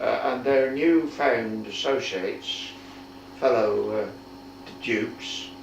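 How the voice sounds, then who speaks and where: A man's very slow speech, broken by long, frequent pauses, sits over noticeable background noise. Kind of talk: oral history interview answer. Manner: slow, hesitant.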